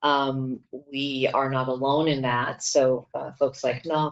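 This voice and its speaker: This speaker has an American accent. The intonation stays fairly even. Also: woman. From USA. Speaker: corporate executive. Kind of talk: conference panel talk.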